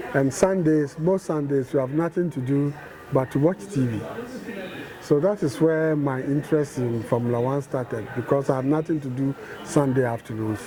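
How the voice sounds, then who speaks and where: With noticeable background noise behind him, a man with a fairly high voice speaks at a moderate pace and ordinary pitch variation. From London, England. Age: 60s. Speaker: motorsport fan. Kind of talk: interview.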